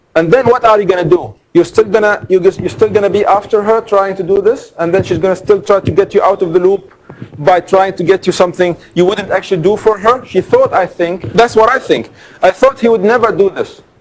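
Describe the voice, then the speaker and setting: With fairly even intonation, a man speaks very fast at a high pitch over noticeable background noise. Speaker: law lecturer. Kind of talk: lecture. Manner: loud.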